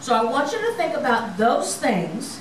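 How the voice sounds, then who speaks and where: There is a woman speaking over light background noise. The room echo is audible. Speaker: lay preacher. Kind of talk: sermon. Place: church.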